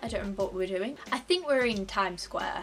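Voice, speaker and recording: A woman speaks with a Yorkshire accent at a fairly quick pace. Music plays in the background. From Yorkshire, England. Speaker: vlogger. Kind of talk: casual talk to camera. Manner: chatty, humorous. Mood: playful, humorous storytelling. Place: home room. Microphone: phone near.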